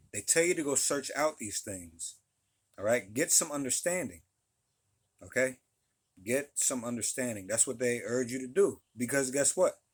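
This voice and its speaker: A man with a plain, everyday voice speaks at a medium pitch and moderate pace with lively intonation, on a very clean recording with a silent background. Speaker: religious teacher. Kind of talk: religious talk to camera. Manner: many fillers and repeated phrases.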